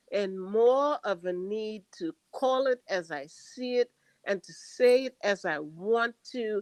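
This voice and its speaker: Lively intonation carries a very slow delivery. The sound is dry and close, with no echo. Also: woman. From Queens, New York (born in Trinidad). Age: 70s. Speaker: poet. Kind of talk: interview conversation. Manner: emphatic.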